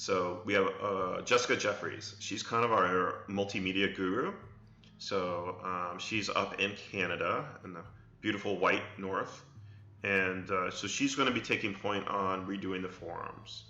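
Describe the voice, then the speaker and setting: Music plays in the background as a man talks at a fairly low pitch with audible room echo. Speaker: game studio CEO streaming Q&A. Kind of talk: live stream Q&A. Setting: live stream. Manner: hesitant with repetitions.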